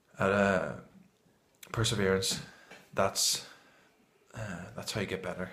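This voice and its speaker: A man's very deep, low voice, bright and sharp in tone, flat and monotone in intonation, with audible room echo. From Northern Ireland. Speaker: amateur poetry reader and vlogger. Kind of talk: casual vlog talk; poetry reading. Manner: hesitant, with fillers.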